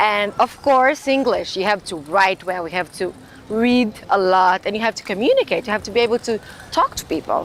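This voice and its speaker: A woman with a Brazilian Portuguese accent talks at a fairly quick pace, her fairly high pitch varying in an ordinary way. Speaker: graduate student. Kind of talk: interview monologue. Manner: halting, with fillers and restarts.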